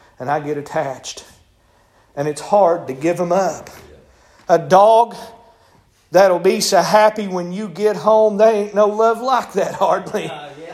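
High-pitched man at a fairly slow pace, with long, frequent pauses, ordinary pitch variation, big swings in loudness and audible room echo. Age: 40s. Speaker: preacher. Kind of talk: sermon. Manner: hesitant fillers.

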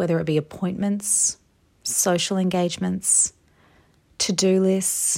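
With an ordinary speaking voice, a woman talks at a fairly slow pace and medium pitch, keeping her intonation fairly even. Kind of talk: guided meditation. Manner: soothing, gentle, slow-paced; warm, encouraging, fervent.

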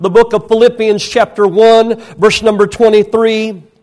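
Speaking with an American accent, a man has a high pitch. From rural United States. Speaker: pastor. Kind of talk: sermon. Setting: church. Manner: hesitant fillers.

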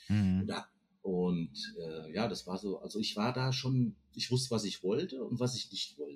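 Somewhat breathy, a man with a fairly low pitch speaks at a fairly slow pace with lively intonation. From Frankfurt am Main, Hesse, Germany. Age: 50s. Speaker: podcast guest. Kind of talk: casual interview chat.

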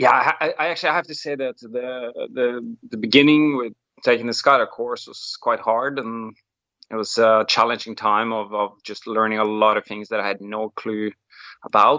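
A man with a Norwegian accent, fairly even intonation, and a moderate pace. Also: medium pitch for a man. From Norway. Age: 40s. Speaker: wingsuit pilot and BASE jumper. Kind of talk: interview.

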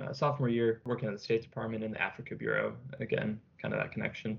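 Speaking at a very fast pace in an American accent, a man uses a medium pitch with vocal fry. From Virginia, US. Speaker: military cadet. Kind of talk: panel discussion.

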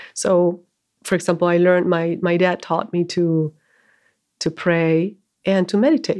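With a Spanish accent, the speaker goes at a fairly slow pace with long, frequent pauses, fairly even intonation and very even loudness. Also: woman, fairly low pitch for a woman. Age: 40s. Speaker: bookshop manager and spiritual teacher. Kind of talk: casual interview.

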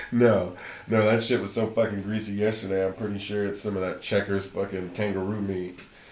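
Audible room echo surrounds a man talking at a fairly quick pace. His pitch is fairly low and his intonation monotone and flat. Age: 30s. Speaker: podcast host. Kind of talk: casual chat.

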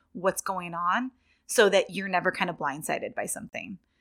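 A woman's medium-pitched voice with an American accent, the sound dry and close with no echo. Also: very clean recording, silent background. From Northern California, near Sacramento. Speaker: young adult fiction author. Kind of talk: interview. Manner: hesitant, many fillers.

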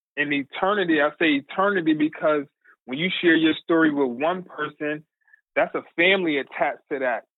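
An American accent and fairly even intonation come from a man with a fairly high pitch. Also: fairly quick pace. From New Haven, Connecticut. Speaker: formerly street-involved man, church youth leader, testimony giver. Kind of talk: testimony, personal story in interview. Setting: phone call.

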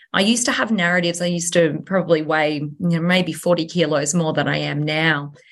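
Talking at a fairly quick pace with an Australian accent, a woman keeps a fairly low pitch and fairly even intonation. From Australia, Sunshine Coast Queensland. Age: 30s. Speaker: real estate agent. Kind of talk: interview.

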